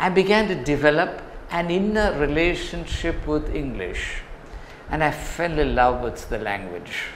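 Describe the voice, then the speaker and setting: Speaking at a fairly slow pace, a man has a Keralan accent. Audible room echo and noticeable background noise are present. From India, Kerala. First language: Malayalam. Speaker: professor. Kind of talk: motivational talk to students.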